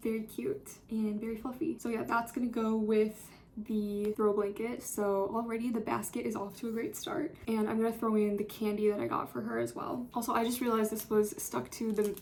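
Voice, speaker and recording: A quiet, fairly high-pitched woman's voice, fairly quick with hardly any pauses and ordinary pitch variation, against noticeable background noise. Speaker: college student vlogger. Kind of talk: casual vlog. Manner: chatty, filler-heavy.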